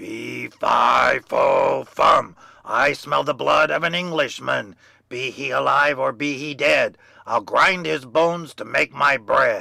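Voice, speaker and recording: Putting on a character voice, a man growls at a fairly slow pace, raspy throughout. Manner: menacing, sniffing.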